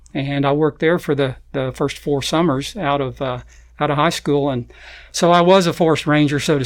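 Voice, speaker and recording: Speaking at a moderate pace with fairly even intonation, a man with an Arkansas accent is heard on a very clean recording with a silent background. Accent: Southern US (Arkansas). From Arkansas, Fayetteville. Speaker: nature photographer. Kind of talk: interview. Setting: studio.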